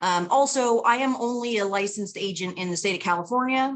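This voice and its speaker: With an American accent and an unremarkable speaking voice, a woman talks at a fairly quick pace with lively intonation against a quiet background. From Texas, Houston. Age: 40s. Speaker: talent agent and attorney. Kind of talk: presentation. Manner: casual, many filler words.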